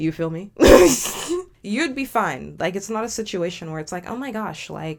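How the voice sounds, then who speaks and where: A woman talks fairly quickly with vocal fry. Her tone is animated and her intonation lively. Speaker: commentary YouTuber. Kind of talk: reaction commentary. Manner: fast.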